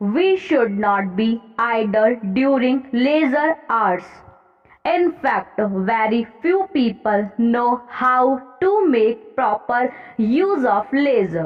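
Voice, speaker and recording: Over background music, a woman talks at a very slow pace in a high pitch. Her pitch swings very widely while her loudness stays very even. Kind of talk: trial passage dictation, essay on leisure. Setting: exam hall dictation. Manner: slow, clear, steady pace.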